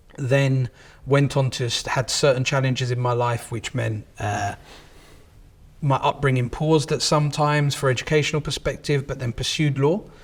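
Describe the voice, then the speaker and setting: This man speaks with a London accent at a moderate pace, his fairly high pitch somewhat breathy and his intonation fairly even. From southeast London, England. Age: 30s. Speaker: company managing director. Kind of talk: interview.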